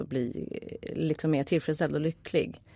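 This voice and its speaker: A woman's very deep, low voice carries a dark, mellow tone in a very clean recording with a silent background. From Stockholm, Kista. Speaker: film producer and director. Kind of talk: casual chat. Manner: halting, many fillers.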